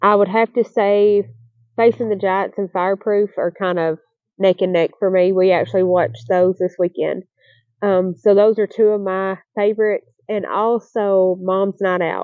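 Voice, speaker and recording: A woman with a Southern US accent speaks at a moderate pace in a medium pitch, her intonation fairly even. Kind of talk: casual Q&A talk to camera.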